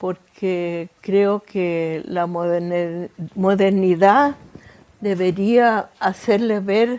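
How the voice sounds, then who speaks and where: A woman is speaking. Her pitch is medium and her intonation fairly even. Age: 90s. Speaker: Holocaust survivor. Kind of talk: interview testimony. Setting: in-person interview. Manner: halting.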